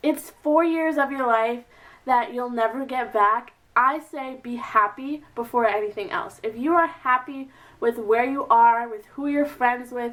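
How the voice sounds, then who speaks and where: Here a woman talks at a fairly slow pace. Her pitch is high, with ordinary pitch variation. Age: 20s. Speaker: beauty and advice vlogger. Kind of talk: casual advice vlog. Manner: chatty, filler-heavy.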